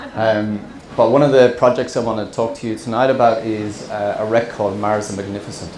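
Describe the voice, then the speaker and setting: A man with an Irish accent, medium pitch and monotone, flat intonation, going at a fairly quick pace amid noticeable background noise and audible room echo. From central Ireland, small town. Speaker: scuba diver and wreck explorer, presenter. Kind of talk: presentation to an audience. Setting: stage with audience. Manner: hesitant, many fillers.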